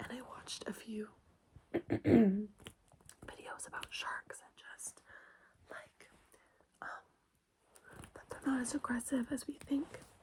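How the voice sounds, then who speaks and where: Whispering, a woman speaks at a very slow pace with long, frequent pauses. Her loudness swings widely. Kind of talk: ASMR ramble, casual talk to camera. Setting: bedroom, with lotion and keyboard sounds. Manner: soft-spoken, intimate, repeating phrases.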